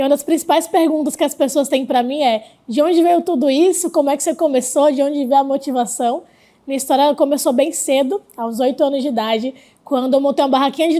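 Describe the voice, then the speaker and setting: A woman talks at a very fast pace, her high-pitched voice carrying a dark, mellow tone. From Brazil, Rio Grande do Norte (Northeast). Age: 20s. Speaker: startup investor, entrepreneur. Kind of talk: interview.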